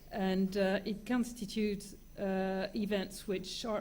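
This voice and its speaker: In a French accent, a woman speaks with a somewhat breathy, dark, mellow tone. Her intonation is monotone and flat, and audible room echo can be heard. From France. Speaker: lawyer. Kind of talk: conference talk. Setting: conference with audience. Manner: halting, many fillers.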